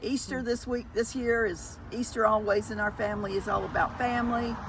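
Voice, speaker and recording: A woman with a Southern US accent talks at a fairly quick pace in a fairly high pitch. Her intonation is monotone and flat, with noticeable background noise behind her. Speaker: thrift vlogger. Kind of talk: casual chat.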